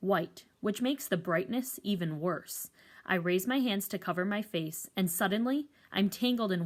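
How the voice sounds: A natural reading voice carries the words.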